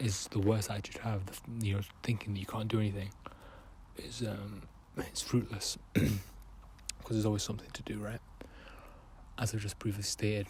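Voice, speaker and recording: A man with a fairly low, somewhat breathy voice talks at a fairly quick pace in a flat monotone, broken by long, frequent pauses. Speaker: artist. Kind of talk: casual talk to camera. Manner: hesitant, many fillers.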